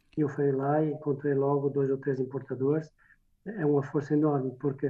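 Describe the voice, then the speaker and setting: Here a man speaks in a monotone, flat intonation at a fairly high pitch. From France (Portuguese emigrant family, born in Minho). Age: 60s. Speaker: winemaker. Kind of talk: interview. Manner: halting.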